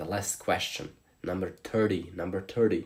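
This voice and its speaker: A man's fairly low voice with a Slavic accent, at a moderate pace, in a very clean recording with a silent background. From Slovenia. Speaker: streamer. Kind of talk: live stream chat.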